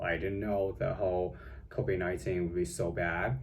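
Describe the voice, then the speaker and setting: Audible room echo and noticeable background noise accompany this man's speech. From China. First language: Chinese. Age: young. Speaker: vlogger. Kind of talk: casual vlog monologue. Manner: halting, many fillers.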